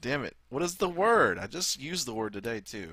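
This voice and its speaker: Bright and sharp in tone, a man with a Southern US accent sounds animated, using lively intonation at a moderate pace. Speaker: gaming YouTuber. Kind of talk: let's play commentary. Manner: casual, animated.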